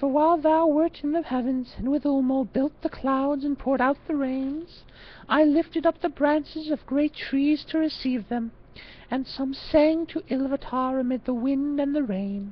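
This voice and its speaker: A female-sounding put-on character voice, high in pitch, runs at a moderate pace. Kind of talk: archaic solemn epic reading. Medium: read story. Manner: earnest, solemn.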